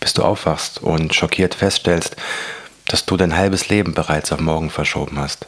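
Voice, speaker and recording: Soft-spoken and at a very deep, low pitch, a man talks at a moderate pace with fairly even intonation and very even loudness over noticeable background noise. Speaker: motivational podcaster and author. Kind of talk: reading aloud from own book.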